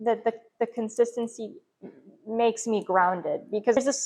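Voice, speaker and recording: Fairly high pitch from a woman in a normal speaking voice, with ordinary pitch variation and a moderate pace. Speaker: podcast host. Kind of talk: casual chat.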